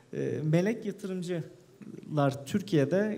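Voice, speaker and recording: A man speaks with ordinary pitch variation. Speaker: investment specialist; speaker. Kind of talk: panel talk. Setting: stage with audience. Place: hall. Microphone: podium.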